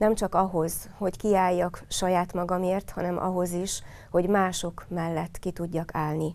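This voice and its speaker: Speaking at a fairly slow pace, a woman with a dark, mellow tone and medium pitch holds a monotone, flat intonation. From Hungary, Hódmezővásárhely; Hungary. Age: 50s. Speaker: local council candidate; council candidate. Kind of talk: campaign statement. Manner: earnest. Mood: earnest, personal, composed. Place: studio.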